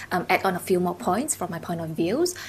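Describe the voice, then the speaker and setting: Noticeable background noise surrounds this woman's voice. She talks at a fairly quick pace and medium pitch. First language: not English; English is her third language. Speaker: university alumna panelist. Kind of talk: panel discussion. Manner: halting, many fillers.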